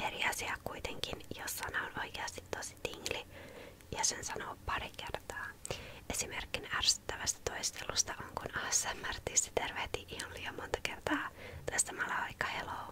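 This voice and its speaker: Whispering at a moderate speed, a woman can be heard through noticeable background noise. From Helsinki, Finland. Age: 20s. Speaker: ASMR artist. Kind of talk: ASMR Q&A talk to camera. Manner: soft-spoken, casual.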